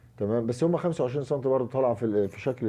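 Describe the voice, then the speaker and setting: A man talks with an Egyptian accent. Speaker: curtain-making and upholstery instructor. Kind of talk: tutorial. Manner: quiet, can't raise voice; halting, many fillers.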